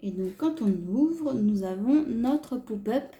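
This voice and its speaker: A woman's somewhat breathy voice at a very slow pace, with very wide pitch swings. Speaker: craft youtuber. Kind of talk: tutorial. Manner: hesitant, filler-heavy.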